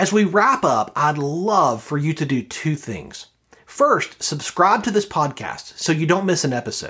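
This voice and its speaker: A man speaks at a moderate pace in a fairly high pitch with very wide pitch swings. He has an American accent. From US South, Birmingham, Alabama. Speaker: podcast host and leadership coach. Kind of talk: interview; scripted outro.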